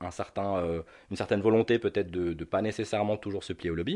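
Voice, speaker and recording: Over a quiet background, the speech goes at a moderate pace with ordinary pitch variation. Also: man. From North Africa (Algeria, Tunisia). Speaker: e-cigarette shop owner. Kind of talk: interview. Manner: hesitant, many fillers.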